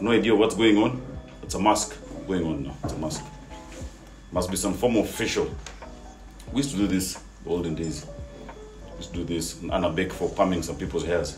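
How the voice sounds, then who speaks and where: With music in the background, a man with a very deep, low pitch uses a playful tone and lively intonation. He talks at a fairly quick pace, with long, frequent pauses. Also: big swings in loudness. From Kenya. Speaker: father. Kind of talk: comedic voice-over commentary. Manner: playful, joking.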